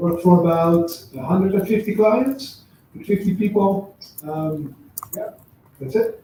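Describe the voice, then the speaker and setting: A high-pitched man with a Dutch accent, fairly slow in pace, with long, frequent pauses and big swings in loudness. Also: lively intonation. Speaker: agency founder. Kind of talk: live panel interview. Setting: office stage with live audience.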